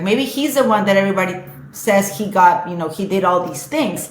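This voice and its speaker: With a Spanish accent and a medium pitch, a woman talks at a moderate pace over noticeable background noise and audible room echo. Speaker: social media influencer. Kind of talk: casual chat. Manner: halting.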